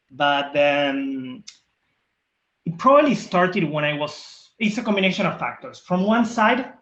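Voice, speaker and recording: Speaking at a fairly slow pace with a strong Argentine accent, a man uses a high pitch with very wide pitch swings. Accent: thick Argentine Spanish. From Argentina. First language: Spanish. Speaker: diversity and inclusion leader. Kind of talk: interview.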